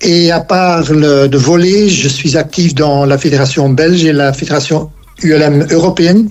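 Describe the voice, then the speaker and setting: There's noticeable background noise as a man speaks at a fairly slow pace with very even loudness. His pitch is fairly high for a man, and his intonation is fairly even. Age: 70s. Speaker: app co-founder and ultralight pilot. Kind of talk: podcast interview. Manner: halting, many hesitations.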